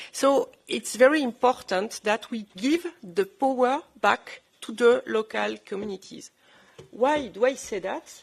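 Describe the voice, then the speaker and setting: A fairly high-pitched woman's voice in a French accent, with lively intonation, a fairly slow pace and big swings in loudness. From southern France. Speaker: former politician. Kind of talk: panel discussion. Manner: halting.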